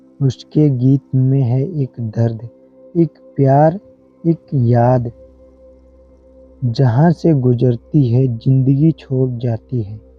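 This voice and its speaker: A man's medium-pitched voice with fairly even intonation and long, frequent pauses, music in the background. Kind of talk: emotional nature voiceover narration. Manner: emotional, reflective.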